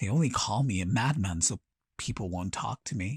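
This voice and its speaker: A low-pitched put-on character voice comes through in a very clean recording with a silent background. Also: moderate pace. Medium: audio drama. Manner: quiet, cryptic.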